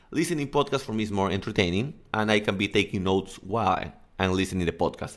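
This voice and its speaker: In a very clean recording with a silent background, a man with a Spanish accent speaks at a very fast pace and a fairly low pitch with ordinary pitch variation. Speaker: English coach and podcaster. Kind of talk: casual solo podcast monologue.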